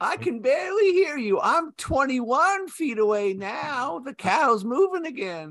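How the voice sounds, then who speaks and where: A put-on character voice, high in pitch, swinging very widely up and down with hardly any pauses. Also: moderate pace. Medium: comedy sketch.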